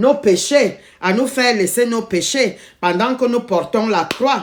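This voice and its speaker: A woman's fairly high voice, very slow pace, ordinary pitch variation. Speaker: lay preacher. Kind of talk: sermon. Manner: halting, with repetitions.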